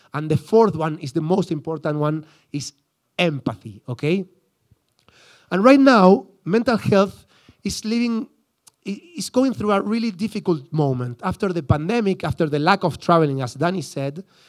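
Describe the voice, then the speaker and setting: A man with an Argentine accent, high-pitched and lively in intonation, at a moderate pace, with a dry, close sound and no echo. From Argentina, Buenos Aires suburbs. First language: Spanish. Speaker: psychologist. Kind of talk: conference talk. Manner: halting, many restarts.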